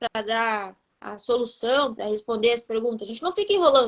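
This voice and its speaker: A woman's fairly quick speech with very wide pitch swings, over a quiet background. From Rio Grande do Sul, southern Brazil. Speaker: life coach. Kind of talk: live stream talk.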